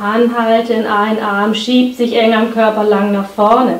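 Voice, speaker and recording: A woman's fairly slow speech with audible room echo. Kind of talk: exercise tutorial instruction. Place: home room.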